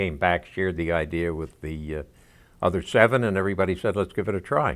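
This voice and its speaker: Speaking at a very fast pace, a man with an American accent and a very deep, low pitch shows ordinary pitch variation on a very clean recording with a silent background. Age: 80s. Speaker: veteran, textile inventor. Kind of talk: documentary interview.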